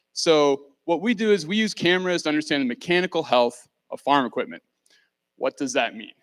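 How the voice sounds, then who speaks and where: This man talks at a fairly quick pace in a fairly high pitch with lively intonation, recorded very cleanly against a silent background with a dry, close sound and no echo. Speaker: startup founder. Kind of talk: pitch presentation. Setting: stage with audience. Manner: loud.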